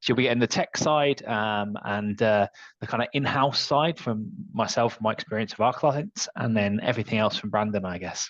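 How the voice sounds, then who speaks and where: With a Manchester accent, a man speaks at a moderate pace in a medium pitch. His pitch varies in an ordinary way, and the sound is dry and close with no echo. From northern England, Manchester. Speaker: software solutions architect. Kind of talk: webinar discussion.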